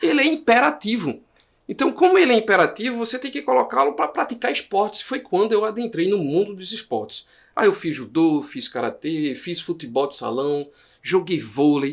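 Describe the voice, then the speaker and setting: Speaking with a northeastern Brazilian accent, a man talks at a moderate pace in a high pitch with very wide pitch swings. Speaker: guest expert, holds doctorate. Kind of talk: interview podcast.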